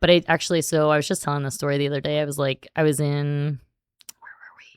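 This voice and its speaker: Speaking fairly quickly with an American accent, a woman uses a very deep, low voice and monotone, flat intonation, recorded with a dry, close sound and no echo. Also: very clean recording, silent background. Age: 40s. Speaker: high school Spanish teacher. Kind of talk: casual chat. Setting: school podcast studio. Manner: many fillers like 'like' and 'um'.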